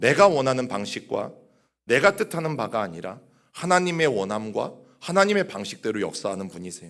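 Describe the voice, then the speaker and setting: On a very clean recording with a silent background, a man talks at a fairly quick pace with very wide pitch swings. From Chungcheong region, Korea. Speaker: pastor. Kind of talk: sermon. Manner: conversational, addresses congregation directly.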